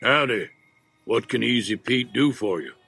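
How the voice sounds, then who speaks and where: In a put-on, raspy character voice with a Western US accent, a man speaks at medium pitch and a moderate pace, recorded very cleanly against a silent background. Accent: western drawl. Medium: video game. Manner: laconic, easygoing.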